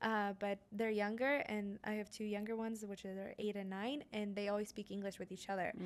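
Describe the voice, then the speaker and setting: With an American accent, a woman at medium pitch speaks at a fairly quick pace in a monotone, flat intonation. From US, Las Vegas, Afghan family. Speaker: podcast guest. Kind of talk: casual chat.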